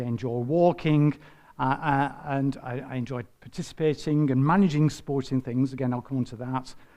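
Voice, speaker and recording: A man talks with a Lancashire accent at a moderate pace. His tone is dark and mellow. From northern England, Bolton. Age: 60s. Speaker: retired environmental health officer. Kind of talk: personal talk to church group. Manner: hesitant, many fillers.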